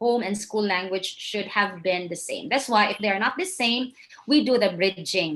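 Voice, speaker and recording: A woman with a Visayan Filipino accent speaks at a fairly high pitch with lively intonation. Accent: Filipino (Cebuano) English. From Philippines, Cebu. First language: Cebuano. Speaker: English teacher and trainer. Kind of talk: lecture.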